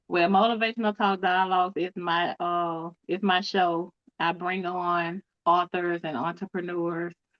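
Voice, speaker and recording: A woman speaks in a fairly low pitch at a fairly slow pace. Her strong Southern US accent comes with monotone, flat intonation. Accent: deep Cajun-like Southern US. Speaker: author and cancer advocate. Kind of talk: podcast interview.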